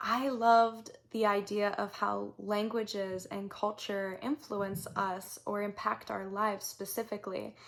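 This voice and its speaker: The speaker talks in a Southern California accent with monotone, flat intonation. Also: woman. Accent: Southern California Valley girl. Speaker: vlogger, recent university graduate. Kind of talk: personal storytelling vlog. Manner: casual with many filler words.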